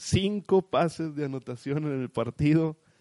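A man's dark, mellow voice moves at a very slow pace in a dry, close sound with no echo. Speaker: sports podcast host. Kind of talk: casual sports chat.

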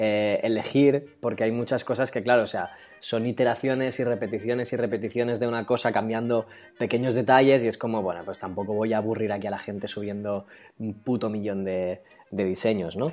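Music plays behind a man speaking at a fairly quick pace. His medium-pitched voice keeps fairly even intonation. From Catalonia, Spain. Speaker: illustrator and character designer. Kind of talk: casual interview chat.

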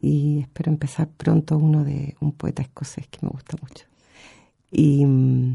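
A woman's somewhat breathy voice with a very deep, low pitch and a dark, mellow tone, monotone and flat in intonation, at a fairly slow pace with big swings in loudness. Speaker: poet. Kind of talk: interview. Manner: halting.

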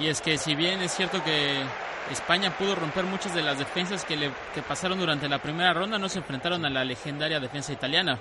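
A man with a fairly high voice talks at a very fast pace with ordinary pitch variation while a crowd murmurs in the background. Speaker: football analyst. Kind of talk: sports panel discussion.

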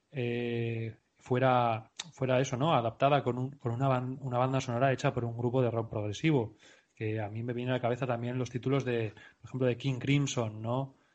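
Monotone, flat intonation marks a man's medium-pitched speech. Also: moderate pace. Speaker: podcast host and presenter. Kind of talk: casual chat.

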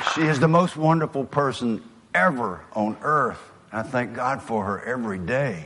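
With a Southern US accent, a man talks at a medium pitch. His intonation is lively. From US South. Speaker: motivational speaker. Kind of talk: motivational speech.

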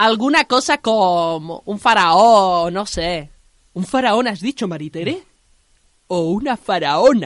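Against a quiet background, a woman at medium pitch speaks very slowly with lively intonation, the sound dry and close with no echo. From Andalusia. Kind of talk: scripted narration.

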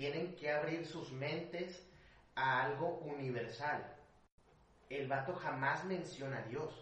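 A man with a Mexican accent, fairly high in pitch, at a very slow pace with long, frequent pauses and fairly even intonation, amid noticeable background noise and audible room echo. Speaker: conspiracy theory enthusiast. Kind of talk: casual chat. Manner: stuttering, halting.

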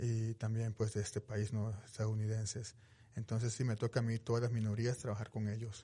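Somewhat breathy with a dark, mellow tone, the voice moves at a fairly quick pace with monotone, flat intonation and very even loudness over a quiet background. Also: man, medium pitch for a man. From Mexico, Veracruz. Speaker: police victim advocate. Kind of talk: radio interview. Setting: studio.

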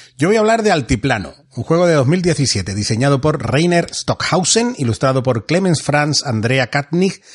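A man talks at a fairly slow pace with a fairly high, somewhat breathy voice. His pitch swings very widely. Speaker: board game podcast host. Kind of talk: game rules explanation; casual chat.

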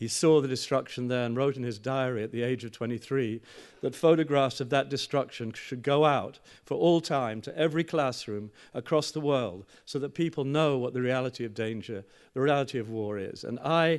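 Against a quiet background, a man talks at a moderate pace in an ordinary speaking voice at a medium pitch. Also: ordinary pitch variation. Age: 60s. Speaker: journalist and speaker. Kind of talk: public lecture.

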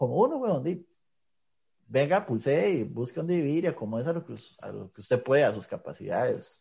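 A man talks at a fairly quick pace with a Costa Rican accent. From Costa Rica, rural north and south. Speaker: podcast host. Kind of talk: casual chat.

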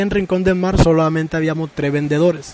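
A man's high voice at a fairly quick pace, with fairly even intonation. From Colombian Caribbean coast, Sincelejo. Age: 40s. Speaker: artisan and fisherman. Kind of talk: interview testimony.

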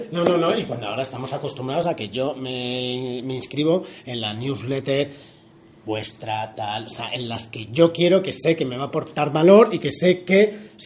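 A man with an ordinary speaking voice, lively intonation and a moderate pace. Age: 30s. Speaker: podcast host. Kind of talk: casual interview. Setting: guest's office.

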